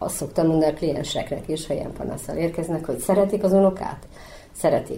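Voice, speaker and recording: A woman at a very fast pace, fairly low in pitch, with fairly even intonation. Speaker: psychologist. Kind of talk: interview.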